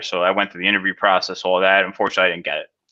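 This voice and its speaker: A man with a New Jersey accent. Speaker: cybersecurity specialist. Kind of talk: interview. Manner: casual, filler-heavy.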